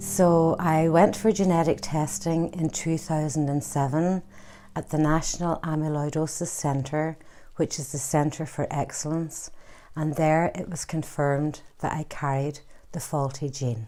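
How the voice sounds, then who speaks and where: This woman has a very deep, low pitch and a dark, mellow tone, talking at a fairly slow pace with fairly even intonation. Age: 60s. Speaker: patient advocate. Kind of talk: testimony.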